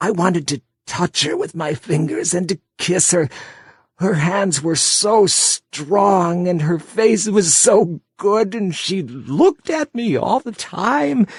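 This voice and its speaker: In a put-on character voice, a man speaks high and shaky at a fairly slow pace with lively intonation. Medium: read story. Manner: halting, confessional.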